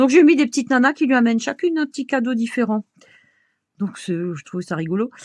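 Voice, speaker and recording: With an Alsatian accent, a woman speaks at a fairly high pitch in a dry, close sound with no echo. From Alsace, France. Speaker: crafts video creator. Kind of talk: tutorial. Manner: casual, hesitant with fillers.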